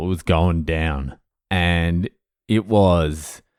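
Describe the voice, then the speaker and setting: Fairly even intonation in an Australian accent. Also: man. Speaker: comedian, sobriety podcast host. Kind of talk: casual podcast monologue. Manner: profane, candid, conversational.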